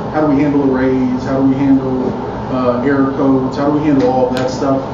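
Noticeable background noise and audible room echo accompany a man as he speaks. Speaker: conference speaker. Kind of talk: technical talk. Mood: casual, candid.

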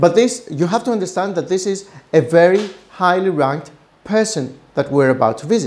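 Lively intonation marks a man's speech at a moderate pace. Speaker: business consultant host. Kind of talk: personal anecdote commentary. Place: office. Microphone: lapel.

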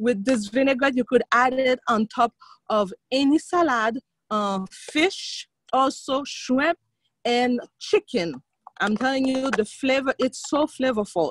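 A woman talks at a fairly slow pace in a high voice with ordinary pitch variation. The recording is dry, with no echo. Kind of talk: tutorial. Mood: cheerful. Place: garden. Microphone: video call.

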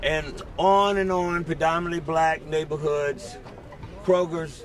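A high-pitched man's voice, dry with no echo, over light background noise. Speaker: community organizer. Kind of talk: press conference opening remarks. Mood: earnest, advocacy tone. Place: street. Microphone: podium.

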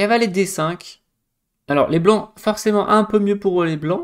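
The speech moves at a very slow pace. Behind it, the background stays quiet. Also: man. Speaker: chess coach and streamer; chess coach, streamer. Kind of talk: live stream game analysis. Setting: live stream with chat. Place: home room.

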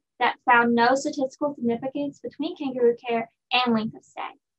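Here is a woman with a high pitch. She speaks at a fairly quick pace. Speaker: presenter. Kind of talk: research presentation. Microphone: webcam.

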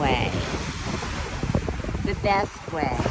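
A woman speaks in a gentle tone. Noticeable background noise runs beneath her voice. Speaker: singer and YouTuber. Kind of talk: inspirational video podcast, casual talk to camera. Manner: encouraging, gentle.

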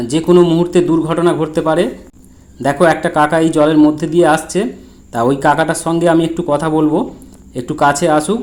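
This man has an ordinary speaking voice with a fairly high pitch. His intonation stays fairly even. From West Bengal, Hooghly district. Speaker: vlogger. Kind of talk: on-location video commentary. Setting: outdoors.

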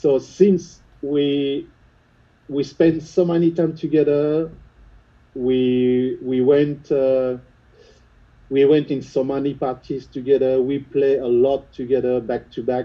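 Speaking at a very slow pace with a French accent, a man with a fairly high pitch keeps his intonation fairly even over a quiet background. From France, Lyon suburbs. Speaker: house music producer and DJ. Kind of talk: interview. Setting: video call. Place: studio.

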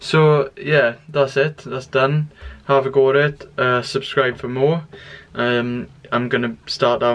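Intonation stays fairly even as a man talks. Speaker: fitness vlogger. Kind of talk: casual vlog chat. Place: home room. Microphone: phone near.

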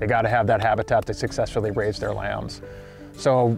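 Over faint background music, a man talks at a very fast pace with ordinary pitch variation and a dry sound with no echo. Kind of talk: interview answer. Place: open country.

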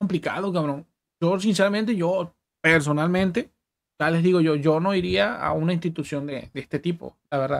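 Talking at a fairly quick pace, a man speaks in a high pitch. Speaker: streamer. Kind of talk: casual stream chat, telling personal stories. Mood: animated, somewhat indignant. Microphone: studio mic.

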